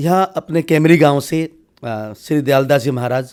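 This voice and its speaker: Lively intonation and a fairly high pitch in a man's voice. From Haryana, India. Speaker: spiritual leader. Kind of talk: interview.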